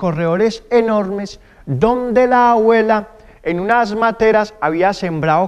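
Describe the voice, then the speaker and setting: A man's high-pitched voice with ordinary pitch variation, against a quiet background. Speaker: storyteller performer. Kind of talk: theatrical oral storytelling. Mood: warm, nostalgic. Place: stage.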